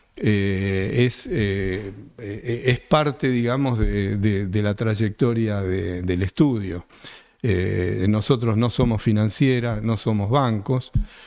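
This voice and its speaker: A man speaks in a fairly low pitch at a very slow pace. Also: ordinary pitch variation. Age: 70s. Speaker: real estate developer. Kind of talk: interview conversation. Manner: halting, many fillers.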